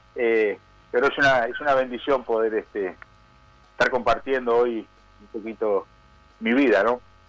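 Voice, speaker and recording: A man at medium pitch and a moderate pace, with fairly even intonation and long, frequent pauses. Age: 60s. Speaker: prison pastor, former criminal. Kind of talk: testimony. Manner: halting, many fillers.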